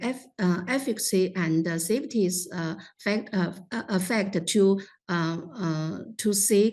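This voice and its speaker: Speaking at a very slow pace, a woman with a Chinese accent holds a medium pitch with ordinary pitch variation. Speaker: lung cancer specialist. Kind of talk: panel discussion commentary. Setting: online meeting. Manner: halting, many fillers.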